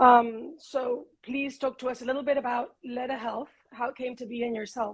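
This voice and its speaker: A woman with a Spanish accent, high-pitched, at a moderate pace with fairly even intonation. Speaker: podcast host. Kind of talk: interview.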